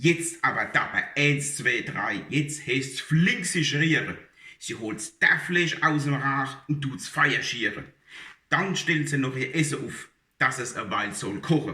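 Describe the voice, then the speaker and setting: Speaking very slowly, a man uses a fairly high pitch with ordinary pitch variation. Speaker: dialect poetry reciter. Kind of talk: humorous dialect poetry reading.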